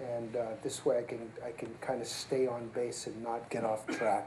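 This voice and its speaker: A soft-spoken man talks in a space with audible room echo. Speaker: surgeon, division chief. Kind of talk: lecture. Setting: seminar room with live audience.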